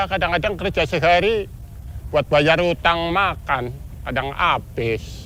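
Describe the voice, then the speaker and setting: With music playing in the background, a man talks fairly slowly in a high voice with ordinary pitch variation. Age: 60s. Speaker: port porter. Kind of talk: interview. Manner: casual.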